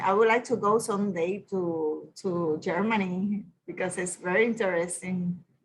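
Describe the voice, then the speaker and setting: Here a woman speaks in a Puerto Rican accent. Her intonation is fairly even. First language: Spanish. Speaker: university staff attendee. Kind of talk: casual remarks in Q&A. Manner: halting.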